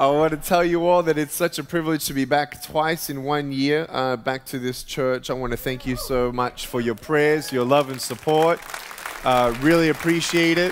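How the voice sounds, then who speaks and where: Over crowd noise in the background, a man speaks with fairly even intonation. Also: moderate pace. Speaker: guest. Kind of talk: sermon. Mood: warm, cheerful. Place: church. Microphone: headset.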